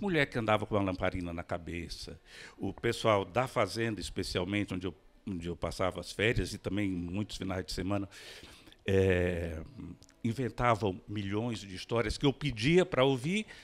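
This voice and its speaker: Lively in intonation, a man speaks at a moderate pace in a normal speaking voice. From Brazil, interior of Maranhão. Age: 60s. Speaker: writer and physician. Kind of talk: panel talk.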